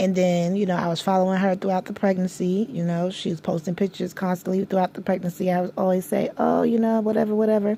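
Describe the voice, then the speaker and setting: A woman's very fast speech with hardly any pauses, in monotone, flat intonation. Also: medium pitch for a woman. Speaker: vlogger. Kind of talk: casual vlog storytelling. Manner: rambling, halting.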